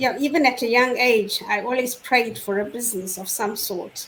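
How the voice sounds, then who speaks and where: A woman speaks with ordinary pitch variation over noticeable background noise. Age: 60s. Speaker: online business owner sharing her story. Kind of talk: testimony in a live online panel chat. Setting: live online stream.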